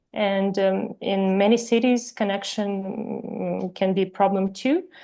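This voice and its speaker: Against a quiet background, a woman with a Ukrainian accent speaks in a dark, mellow tone with fairly even intonation. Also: medium pitch for a woman, fairly slow pace. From Ukraine. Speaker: webinar presenter, Wikipedia editor. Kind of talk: webinar presentation. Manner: halting, many fillers.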